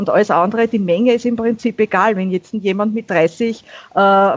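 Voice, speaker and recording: A woman with a Viennese accent speaks at a moderate pace in a fairly high voice, her intonation fairly even. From Austria, Vienna. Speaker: YouTuber on minimalism. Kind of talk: casual chat.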